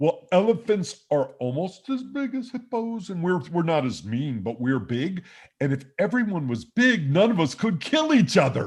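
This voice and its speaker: Putting on a character voice, a man speaks in a cheerful tone at a moderate pace, high-pitched with very wide pitch swings and hardly any pauses. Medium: game stream. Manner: cheerful, simple.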